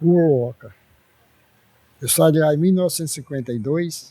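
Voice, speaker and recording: At a moderate pace, a man speaks in a dark, mellow tone that is somewhat breathy, with ordinary pitch variation. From Ceará, Brazil. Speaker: elderly pioneer resident. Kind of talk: interview.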